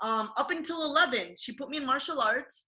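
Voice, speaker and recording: A woman speaks in a raised, projected voice. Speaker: martial artist and content creator. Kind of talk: casual chat. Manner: loud, projecting.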